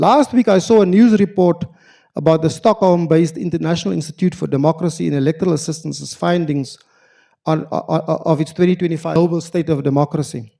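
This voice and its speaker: A man with a South African accent speaks very fast. His fairly high voice has a dark, mellow tone on a very clean recording with a silent background. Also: ordinary pitch variation. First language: Afrikaans. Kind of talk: formal lecture. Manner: formal, with hesitations.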